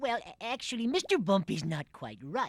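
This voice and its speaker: A cartoonish character voice that sounds female runs at a moderate pace. Its pitch sits fairly high. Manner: meek, hesitant.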